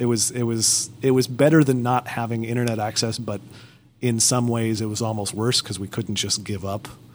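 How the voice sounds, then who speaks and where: A man's medium-pitched, plain, everyday voice at a moderate pace. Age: 30s. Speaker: podcast host. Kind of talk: casual chat.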